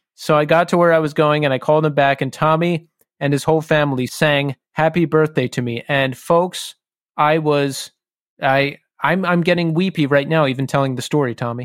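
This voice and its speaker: An unremarkable speaking voice from a man, fairly high in pitch, at a moderate pace with fairly even intonation, on a very clean recording with a silent background. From Philadelphia area. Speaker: podcast host. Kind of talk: casual chat.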